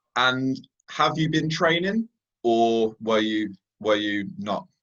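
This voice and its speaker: This man's voice sits at a medium pitch and has lively intonation. He speaks at a very slow pace. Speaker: MMA interviewer. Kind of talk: interview.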